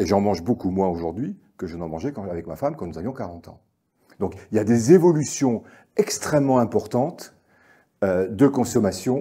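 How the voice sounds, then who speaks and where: The recording is very clean, with a silent background. The voice has a dark, mellow tone, moves at a moderate pace with lively intonation, and swings a lot in loudness. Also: man, fairly low pitch for a man. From Normandy, France. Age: 60s. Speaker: agricultural economist speaker. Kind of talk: conference talk. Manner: hesitant, many fillers and repetitions.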